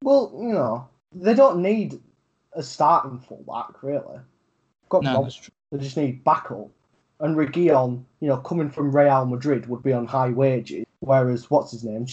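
A man with a Yorkshire accent speaks at a fairly slow pace in a fairly high, somewhat breathy voice, his pitch rising and falling by an ordinary amount. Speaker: podcast co-host. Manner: casual, frequent fillers, swears.

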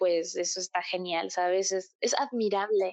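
A woman talks at a fairly slow pace with ordinary pitch variation. The sound is dry and close with no echo, and the background is quiet. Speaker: podcast guest, K-pop fan. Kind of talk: casual chat. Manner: animated.

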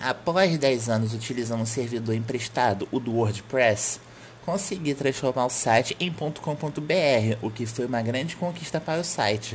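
A man at a medium pitch with ordinary pitch variation and a fairly slow pace, against noticeable background noise. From Brazil, Rio de Janeiro. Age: 20s. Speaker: podcast host and website editor. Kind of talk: solo podcast monologue.

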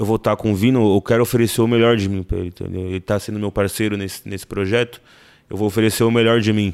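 On a very clean recording with a silent background, a man talks at a very fast pace in a fairly low, monotone, flat voice. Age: 20s. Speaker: actor and music producer. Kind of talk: casual interview chat. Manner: halting, repeats words.

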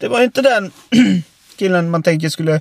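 The speaker is a man with a high pitch and ordinary pitch variation. His sound is dry and close, with no echo. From Oskarshamn area, Sweden. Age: 30s. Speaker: podcast co-host. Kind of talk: casual chat.

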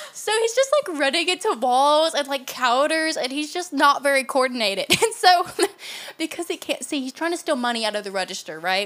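A woman's high voice with a Southern US accent, very wide pitch swings and a fairly quick pace. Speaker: podcast co-host. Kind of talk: casual chat.

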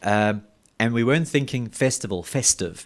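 In a very clean recording with a silent background, a man with a South African accent speaks at a moderate pace with ordinary pitch variation. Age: 30s. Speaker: metal festival promoter. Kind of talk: casual chat. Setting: studio.

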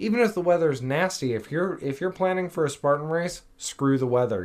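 The pitch swings very widely throughout. The pace is fairly quick, with hardly any pauses. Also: man. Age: 30s. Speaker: fitness podcast co-host. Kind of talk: casual chat.

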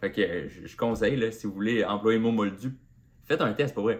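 A man in a Quebec accent, fairly low in pitch, at a moderate pace with fairly even intonation. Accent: Québécois French. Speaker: comedian. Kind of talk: solo podcast monologue.

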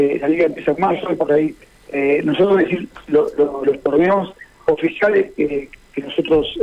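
Over noticeable background noise, a man speaks at a high pitch with very even loudness and ordinary pitch variation. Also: moderate pace. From Buenos Aires, Argentina. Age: 50s. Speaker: truco association president. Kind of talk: radio interview. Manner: halting.

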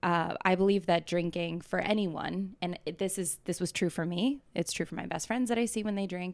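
A woman with a plain, everyday voice at medium pitch, ordinary pitch variation, moderate pace and hardly any pauses, on a very clean recording with a silent background. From US South, Atlanta, Georgia. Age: 20s. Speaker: startup founder. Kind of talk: casual interview.

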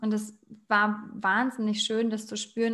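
A woman's normal speaking voice, fairly high in pitch, in a very clean recording with a silent background. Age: 30s. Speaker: educator and aspiring animal psychologist. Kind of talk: casual interview.

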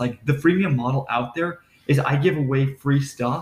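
Somewhat breathy and fairly high in pitch, a man talks with ordinary pitch variation. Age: 20s. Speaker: entrepreneur. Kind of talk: casual chat.

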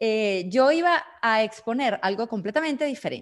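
A woman at a very slow pace, fairly high in pitch with very wide pitch swings. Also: quiet background. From Venezuela. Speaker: business consultant and speaker. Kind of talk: online seminar talk.

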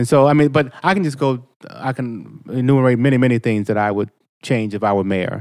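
A man with an American accent has a plain, everyday voice at a medium pitch. He speaks at a fairly quick pace with ordinary pitch variation. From Boston, Mattapan. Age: 50s. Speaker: state representative. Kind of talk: casual chat. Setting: studio.

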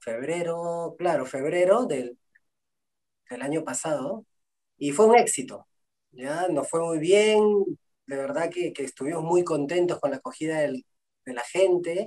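With a dark, mellow tone and lively intonation, the speaker moves at a fairly slow pace with long, frequent pauses. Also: man, high pitch for a man. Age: 30s. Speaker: musician. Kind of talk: interview.

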